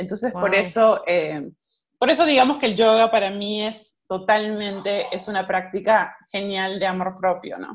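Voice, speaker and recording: A woman speaks at a fairly slow pace and medium pitch. It is an unremarkable speaking voice. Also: ordinary pitch variation. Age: 40s. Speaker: self-love coach and yoga teacher. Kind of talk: interview.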